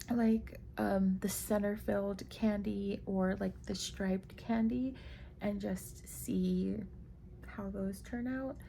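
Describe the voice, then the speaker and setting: A woman at a very slow pace with audible room echo. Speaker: crochet maker and vlogger. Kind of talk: casual vlog talk. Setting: at home at night.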